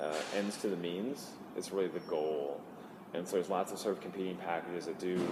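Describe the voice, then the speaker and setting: A man talks at a fairly quick pace in a very deep, low voice with fairly even intonation. Music plays in the background, and the room echo is audible. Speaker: engineering director at a tech company. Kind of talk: conference interview. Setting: conference venue. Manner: halting, with fillers.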